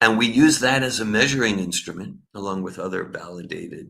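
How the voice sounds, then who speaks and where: A man with an American accent, a bright, sharp tone, a moderate pace and ordinary pitch variation. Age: 60s. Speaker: spiritual teacher and researcher. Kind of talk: online conference talk. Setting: online e-conference. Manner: halting, many repetitions.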